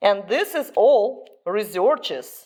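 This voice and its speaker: A woman with a Russian accent speaks at medium pitch with very wide pitch swings. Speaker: dog owner and breeder vlogger. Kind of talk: informational vlog.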